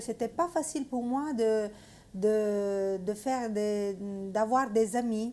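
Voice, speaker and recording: A woman with an Italian accent speaks very slowly at a fairly high pitch, her tone dark and mellow and her intonation fairly even. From Italy. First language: Italian (speaking French). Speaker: missionary. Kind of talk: testimony. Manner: halting, many hesitations.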